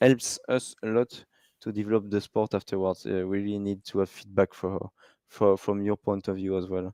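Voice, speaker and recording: Speaking at a moderate pace with a French accent, a man with a fairly low voice and a dark, mellow tone talks in a monotone, flat way, recorded very cleanly against a silent background with a dry, close sound and no echo. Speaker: live race commentator. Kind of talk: live commentary. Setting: live stream. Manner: halting.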